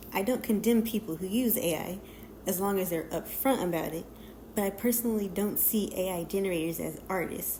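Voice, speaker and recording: Somewhat breathy and shaky, a woman's medium-pitched voice with a dark, mellow tone moves at a fairly quick pace with ordinary pitch variation and audible room echo. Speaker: digital artist. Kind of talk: scripted narration. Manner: reading from a script.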